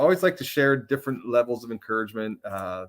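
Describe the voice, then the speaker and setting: With ordinary pitch variation around a medium pitch, a man speaks on a very clean recording with a silent background. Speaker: ministry executive, live show host. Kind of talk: casual live-stream talk with encouragement. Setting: live stream broadcast. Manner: loud; halting, many fillers.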